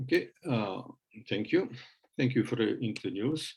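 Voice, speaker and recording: A man speaks with a Bosnian accent. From Bosnia and Herzegovina. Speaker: professor of electronics. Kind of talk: lecture presentation. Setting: online webinar. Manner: halting.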